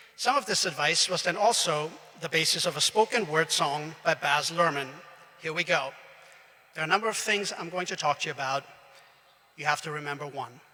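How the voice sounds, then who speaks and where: With long, frequent pauses yet a fairly quick pace, a man speaks in a fairly high pitch over noticeable background noise. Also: ordinary pitch variation. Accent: German. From Austria. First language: German. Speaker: graduation speaker. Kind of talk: commencement speech.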